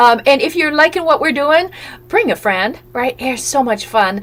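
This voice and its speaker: Noticeable background noise sits behind the woman, whose intonation is lively. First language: Italian or German. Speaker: business coach. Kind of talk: live webinar sales talk. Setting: live stream. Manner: fast; animated.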